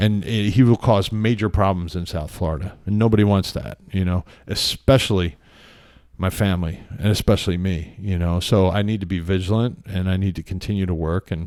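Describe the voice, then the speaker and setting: In a very clean recording with a silent background, a man with a very deep, low voice and an American accent speaks at a fairly quick pace with fairly even intonation. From Pennsylvania. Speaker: author and meditation practitioner. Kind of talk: podcast interview, casual chat. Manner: conversational with many fillers.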